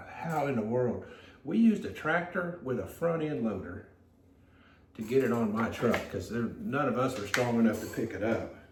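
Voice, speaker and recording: There is audible room echo and noticeable background noise as a man talks. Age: 60s. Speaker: potter. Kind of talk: casual chat. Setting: pottery studio. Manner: relaxed, hesitant.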